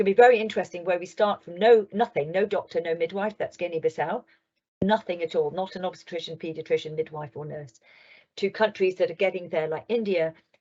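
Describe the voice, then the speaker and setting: Talking at a fairly quick pace, a woman with a fairly low pitch shows ordinary pitch variation and big swings in loudness. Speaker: global health official and midwife. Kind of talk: keynote talk. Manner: fast.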